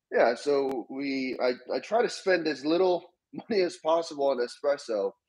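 Behind a man's speech, the background stays quiet. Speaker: remote guest. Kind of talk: casual interview chat. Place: kitchen. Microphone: video call.

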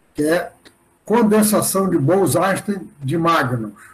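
A man speaking at a very slow pace. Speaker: university professor. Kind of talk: lecture. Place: home room. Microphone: webcam.

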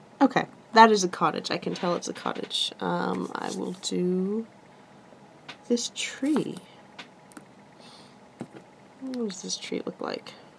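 A woman speaks at a very slow pace with long, frequent pauses, with light background noise behind her. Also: big swings in loudness. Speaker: crafter demonstrating clay relief. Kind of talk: tutorial. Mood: relaxed, laughs lightly.

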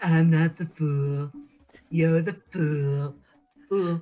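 Speech comes at a very slow pace. The pitch sits in the middle. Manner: dramatic, boastful.

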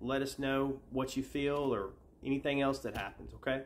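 This is a man's voice. He speaks at a moderate pace. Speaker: faith healer. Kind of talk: fervent intercessory prayer, commanding healing declarations. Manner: commanding, repetitive invocations in Jesus' name; soothing, reassuring when guiding listener to relax. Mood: calm, earnest, fervent. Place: home room.

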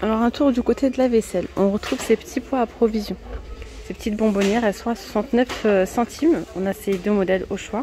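Female speech at a fairly quick pace with ordinary pitch variation, a dry sound with no echo and light background noise. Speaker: shopping vlogger. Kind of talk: casual vlog chat. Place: shop. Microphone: phone near.

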